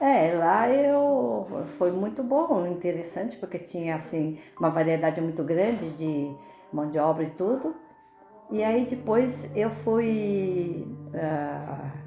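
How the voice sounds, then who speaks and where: A woman talks at a very slow pace in a fairly low pitch with very wide pitch swings. Music plays in the background and the room echo is audible. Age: 80s+. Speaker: retiree. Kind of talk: interview testimony.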